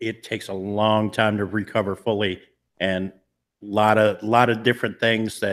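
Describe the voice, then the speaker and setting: On a very clean recording with a silent background, a man with a fairly low pitch talks at a fairly slow pace in a monotone, flat intonation. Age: 40s. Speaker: paranormal channel host. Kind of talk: casual chat. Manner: occasional stammer, word-finding pauses.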